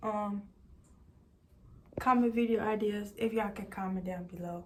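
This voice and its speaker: A woman speaks at a moderate pace with a fairly high pitch. Her voice is somewhat breathy, and her intonation is fairly even. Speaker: beauty vlogger. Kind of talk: casual vlog tutorial.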